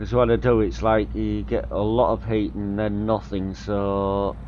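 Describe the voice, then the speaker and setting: A man against noticeable background noise. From North Yorkshire, near Whitby, England. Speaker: gaming streamer. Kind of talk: live gameplay stream commentary. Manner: casual, rambling.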